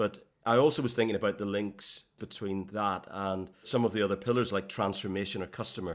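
A man with a normal speaking voice and fairly low pitch talks at a fairly quick pace, with hardly any pauses. His intonation stays fairly even on a very clean recording with a silent background. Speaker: podcast host and corporate executive. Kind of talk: corporate interview podcast.

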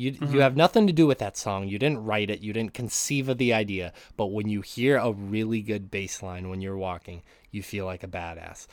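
A man with an American accent, fairly low pitched, at a fairly quick pace with ordinary pitch variation. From US, Montana. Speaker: guest co-host. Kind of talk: casual chat.

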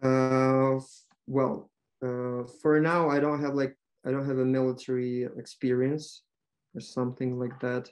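A man speaks in a monotone, flat intonation with a Ukrainian accent. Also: medium pitch for a man, fairly slow pace. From western Ukraine. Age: 20s. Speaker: language tutor. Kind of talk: interview. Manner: halting.

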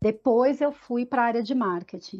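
Over music in the background, a woman talks at a fairly slow pace with a fairly high pitch. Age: 40s. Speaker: marketing director. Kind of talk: casual chat. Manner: halting.

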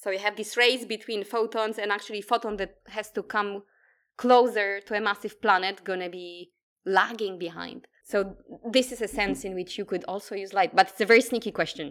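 At a moderate pace, a woman speaks in a Polish accent with medium pitch. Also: fairly even intonation, very clean recording, silent background. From Poland. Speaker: quantum physicist. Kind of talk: interview.

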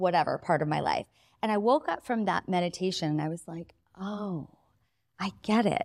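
A woman talks with ordinary pitch variation in a dry, close sound with no echo. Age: 40s. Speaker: entrepreneur and author. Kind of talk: casual chat; guided ritual.

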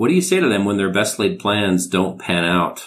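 A man speaks with a very deep, low voice. The recording is very clean, with a silent background. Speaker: podcast host. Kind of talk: interview.

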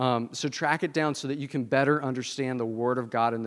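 Against a quiet background, a man with a Southern US accent talks at a medium pitch with fairly even intonation. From US South. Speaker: pastor. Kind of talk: sermon.

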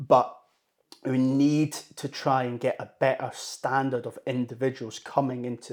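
Recorded very cleanly against a silent background, a man speaks at a medium pitch in a Scottish accent. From Scotland, Dunblane. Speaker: mental health personal trainer and coaching company founder. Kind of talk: casual interview.

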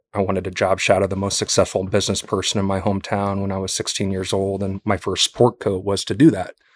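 In a very clean recording with a silent background and a dry, close sound with no echo, a man talks at a very fast pace in a fairly low pitch. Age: 40s. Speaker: entrepreneur, company founder. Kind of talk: personal interview, testimony.

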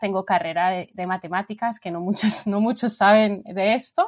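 This woman speaks in a Colombian accent at a fairly slow pace. Her pitch is medium, with ordinary variation. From England, London. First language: English (speaking Spanish). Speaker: frontend developer. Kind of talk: interview. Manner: halting.

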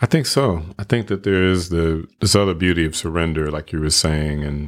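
Over a silent background in a very clean recording, a man with an American accent speaks in a very deep, low pitch. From Michigan, US (Flint). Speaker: actor and voiceover artist. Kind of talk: interview conversation.

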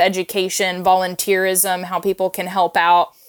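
This is a woman with a normal speaking voice. Her pitch is medium and her pace moderate. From Oklahoma, Tulsa. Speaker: geriatric food advocate, gerontologist. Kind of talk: interview.

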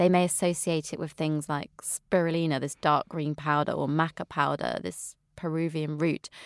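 Dry and close with no echo, a woman with a slight West Country accent speaks at a moderate pace in a very clean recording with a silent background. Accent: slight West Country, drops her T's. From England, Wiltshire. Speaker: nutritionist. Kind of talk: interview.

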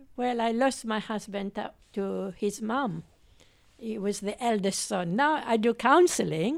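Fairly slow speech in a French accent, on a very clean recording with a silent background. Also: woman, fairly high pitch for a woman, ordinary pitch variation. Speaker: nurse. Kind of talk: casual group discussion.

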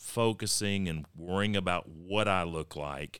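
A man's very deep, low voice with a Texan accent at a fairly slow pace, in a very clean recording with a silent background. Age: 50s. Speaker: county judge and podcast host. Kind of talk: casual interview.

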